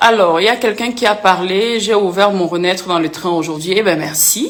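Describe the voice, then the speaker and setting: Over noticeable background noise, a woman talks in an animated tone at a moderate pace with ordinary pitch variation. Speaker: influencer and author. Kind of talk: live stream Q&A with viewers. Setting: live video stream.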